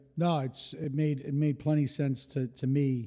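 With a New York accent, a man speaks fairly slowly at medium pitch in a dark, mellow tone. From New York City, Rockaway, Queens. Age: 40s. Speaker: hospitality entrepreneur. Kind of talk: casual interview.

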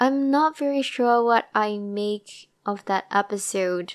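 A woman at a medium pitch, with ordinary pitch variation and a very slow pace, on a very clean recording with a silent background. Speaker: solo podcast host reviewing TV dramas. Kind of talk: casual solo monologue. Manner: rambling, laughs often.

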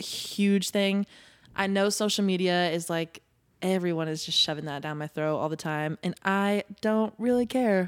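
This woman has an ordinary speaking voice and an American accent. She talks at a fairly slow pace with ordinary pitch variation. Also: medium pitch for a woman. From Indiana, US Midwest. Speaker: pop singer. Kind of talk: interview. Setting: live podcast studio.

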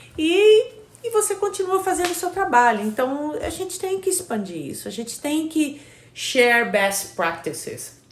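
Noticeable background noise sits behind a woman's voice. Her pitch is extremely high and swings very widely. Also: fairly slow pace. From Brazil. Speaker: podcast co-host. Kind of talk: casual chat. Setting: recording with a Hudson River view, trains nearby.

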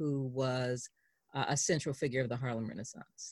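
A woman with an American accent, very deep and low in pitch, fairly even intonation, dry, close sound with no echo. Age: 60s. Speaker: journalist and biographer. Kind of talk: interview.

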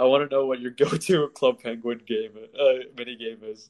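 Someone talks at a moderate pace in an ordinary speaking voice. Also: man. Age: 20s. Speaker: videographer. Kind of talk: casual chat.

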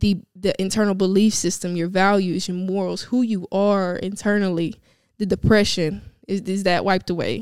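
In a Louisiana accent, a woman speaks at medium pitch and a moderate pace. Her intonation stays monotone and flat. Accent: Southern US (Louisiana). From Louisiana, US South. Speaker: podcast host. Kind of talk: solo personal monologue.

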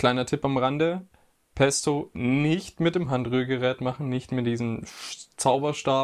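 A man speaks at a fairly slow pace and medium pitch in a normal speaking voice. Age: 20s. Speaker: podcast co-host, physiotherapy student. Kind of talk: casual chat.

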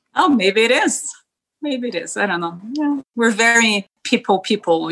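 Fairly slow and fairly high-pitched, a woman's bright, sharp voice swings very widely in pitch and shows vocal fry. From southern Brazil, Porto Alegre. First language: Spanish. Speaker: podcast guest, immigrant. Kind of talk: casual interview.

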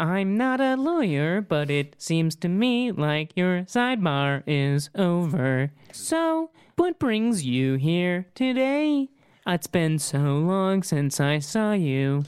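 This put-on character voice sits at a middle pitch and moves at a very slow pace. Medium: actual play. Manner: casual, slangy, deadpan.

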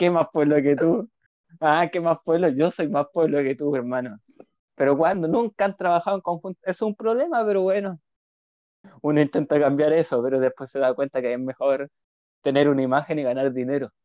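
With a Chilean accent, a man speaks at a moderate pace in a fairly high voice with ordinary pitch variation. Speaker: podcast co-host, psychologist. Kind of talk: casual chat.

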